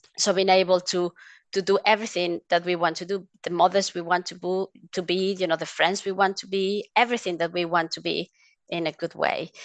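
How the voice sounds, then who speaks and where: In a Mexican accent, a woman talks with a medium pitch and monotone, flat intonation, recorded in a dry, close sound with no echo against a quiet background. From Mexico. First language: Spanish. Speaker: essential oils advocate. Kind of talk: interview conversation. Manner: hesitant, with fillers.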